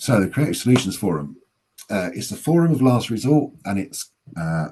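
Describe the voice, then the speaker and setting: A man speaks at a medium pitch in a dark, mellow tone. His pitch swings very wide. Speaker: public health practitioner presenting at a webinar. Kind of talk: webinar presentation. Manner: fast.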